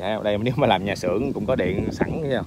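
A man talks at a very fast pace with ordinary pitch variation. The sound is dry with no echo, and background noise is noticeable. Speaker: land seller showing a plot. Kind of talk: real estate walkthrough commentary. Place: open country. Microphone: phone near.

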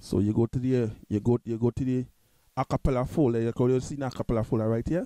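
A man with a Trinidadian accent talks at a very fast pace, his tone dark and mellow and his intonation fairly even. The recording is dry and close, with no echo. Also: medium pitch for a man. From Trinidad and Tobago. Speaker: music tutorial youtuber. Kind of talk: tutorial. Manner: halting.

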